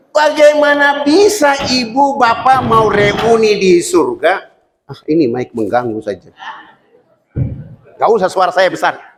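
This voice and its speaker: Extremely high in pitch, a man talks at a fairly slow pace with very wide pitch swings. Audible room echo surrounds his voice. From Papua, Indonesia (Fakfak). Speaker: Islamic preacher. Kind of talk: sermon.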